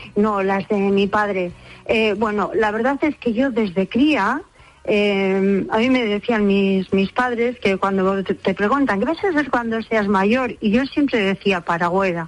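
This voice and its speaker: A woman with an unremarkable speaking voice, medium pitch, ordinary pitch variation, very even loudness and a fairly slow pace. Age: 60s. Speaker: umbrella repairer. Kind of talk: radio interview.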